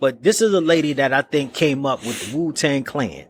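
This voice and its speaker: An animated man with an American accent speaks at a moderate pace with lively intonation on a very clean recording with a silent background. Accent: New York accent when back in New York. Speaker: podcast co-host, music artist. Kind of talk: casual podcast debate.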